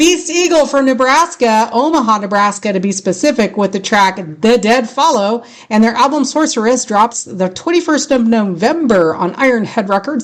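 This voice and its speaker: With a strong Californian accent, a woman talks at a moderate pace in a fairly high pitch, with lively intonation and hardly any pauses. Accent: thick California. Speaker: radio host. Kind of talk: casual chat.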